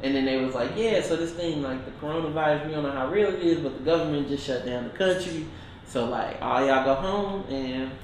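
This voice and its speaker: Fairly high in pitch with ordinary pitch variation, a man talks at a fairly quick pace amid audible room echo and noticeable background noise. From Detroit, Michigan. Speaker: musician. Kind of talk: casual chat.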